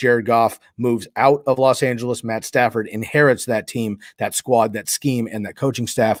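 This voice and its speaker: In a very clean recording with a silent background, a man talks at a fairly quick pace in a monotone, flat delivery. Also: dry, close sound with no echo. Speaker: fantasy football podcast host. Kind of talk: solo podcast analysis. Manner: fast.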